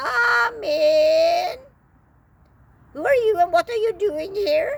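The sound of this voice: A female-sounding, put-on character voice comes out squeaky and extremely high in pitch. It moves at a very slow pace with very wide pitch swings.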